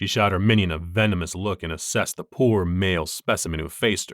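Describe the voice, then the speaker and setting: In a very clean recording with a silent background, a man with an ordinary speaking voice talks at a fairly quick pace with ordinary pitch variation. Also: dry, close sound with no echo. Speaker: voice actor. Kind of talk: audiobook narration.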